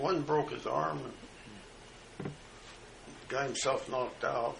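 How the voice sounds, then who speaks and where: Against noticeable background noise, a man with an American accent speaks at a fairly slow pace with ordinary pitch variation. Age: 80s+. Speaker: World War II veteran. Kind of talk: oral history recollection at breakfast table. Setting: home kitchen, family in background.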